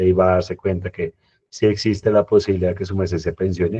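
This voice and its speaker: With a dark, mellow tone, a man talks very fast in a dry, close sound with no echo. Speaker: pension reform speaker. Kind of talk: community talk Q&A.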